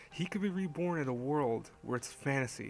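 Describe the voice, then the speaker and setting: Quietly, a man speaks in a fairly high pitch with ordinary pitch variation. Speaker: anime reviewer. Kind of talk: casual review talk to camera. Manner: quiet, hushed.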